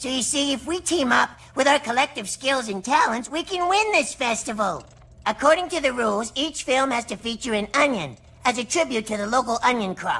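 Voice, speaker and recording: This cartoonish character voice sounds female, high in pitch and moving at a fairly quick pace. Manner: earnest, bossy.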